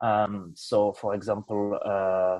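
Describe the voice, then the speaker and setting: A man speaks with a French accent. His pitch is fairly low. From France. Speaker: software developer presenting project. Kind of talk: project presentation. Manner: halting, many fillers.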